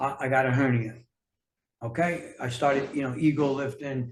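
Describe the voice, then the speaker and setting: The voice is somewhat breathy, with fairly even intonation and an American accent. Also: man. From New York City. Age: 60s. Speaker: health and fitness coach, author. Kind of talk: casual interview chat.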